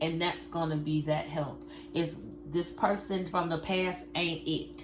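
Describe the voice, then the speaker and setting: A woman speaks at a fairly slow pace with very even loudness. Audible room echo and noticeable background noise are present. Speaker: tarot card reader. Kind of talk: tarot reading. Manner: casual, conversational.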